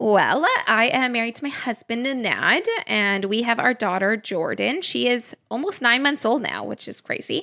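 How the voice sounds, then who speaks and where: An unremarkable speaking voice with a Canadian accent moves at a moderate pace with lively intonation. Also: woman, fairly high pitch for a woman. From Western Canada. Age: 30s. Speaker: podcast co-host, new mom. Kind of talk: casual chat.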